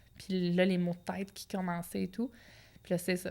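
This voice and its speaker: Speaking at a fairly quick pace in a Quebec accent, a woman has a medium pitch and a monotone, flat intonation. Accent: Québécois French. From Quebec (Outaouais). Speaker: professional boxer. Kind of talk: interview. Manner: casual, colloquial.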